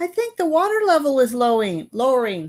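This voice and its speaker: A put-on character voice, female-sounding and high-pitched for a woman, with very wide pitch swings at a fairly quick pace. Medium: audio drama. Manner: anxious.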